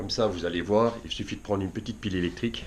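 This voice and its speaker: Noticeable background noise behind speech with ordinary pitch variation. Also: man. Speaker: fishing YouTuber. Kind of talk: tutorial. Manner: halting, many fillers.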